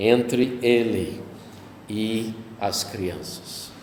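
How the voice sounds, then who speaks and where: Amid noticeable background noise and audible room echo, a man speaks very slowly at a medium pitch. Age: 60s. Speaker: pastor. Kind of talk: sermon.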